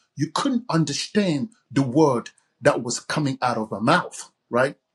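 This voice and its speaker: Lively intonation from a man with a fairly high, somewhat breathy voice, in a dry, close sound with no echo. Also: fairly slow pace. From Cameroon. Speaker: author and communication coach. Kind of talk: podcast interview. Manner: hesitant, with filler words.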